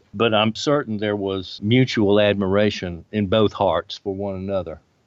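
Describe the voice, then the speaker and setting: A man with an American accent talks at a moderate pace in a normal speaking voice. His pitch sits fairly low, and his intonation stays fairly even. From US South, Birmingham, Alabama. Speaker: religious history professor and author. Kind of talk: interview.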